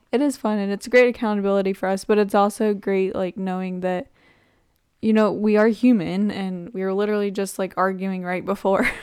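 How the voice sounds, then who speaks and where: The voice is a plain, everyday voice. It moves at a fairly quick pace with fairly even intonation. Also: woman, medium pitch for a woman. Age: 20s. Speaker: podcast host. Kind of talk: casual chat.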